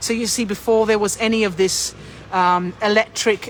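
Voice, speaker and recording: A woman's fairly high voice at a fairly slow pace. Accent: Australian. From Australia. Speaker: tour guide. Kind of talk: live-stream walking tour. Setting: outdoors on a city street. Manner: chatty, greets viewers mid-sentence.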